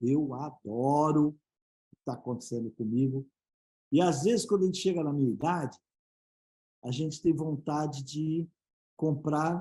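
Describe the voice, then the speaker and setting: A man speaks at a fairly slow pace in a fairly high pitch, with long, frequent pauses and ordinary pitch variation. His tone is dark and mellow, and somewhat breathy. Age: 60s. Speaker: business speaker and board advisor. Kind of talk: panel interview. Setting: live web broadcast.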